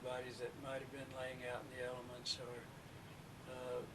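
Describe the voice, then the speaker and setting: Over noticeable background noise, a man talks at a fairly slow pace and a medium pitch. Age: 60s. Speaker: retired mortician, eyewitness. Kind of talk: recorded interview testimony.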